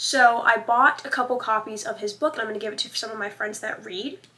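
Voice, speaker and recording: A woman talks at a fairly quick pace in a normal speaking voice with a fairly high pitch. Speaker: vlogger. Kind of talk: casual vlog chat.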